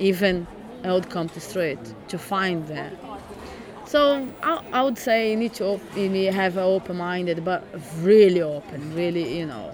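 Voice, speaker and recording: A fairly slow pace and lively intonation over noticeable background noise. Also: woman. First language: Portuguese. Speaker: migrant living in London. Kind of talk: casual interview story. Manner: laughs often, conversational.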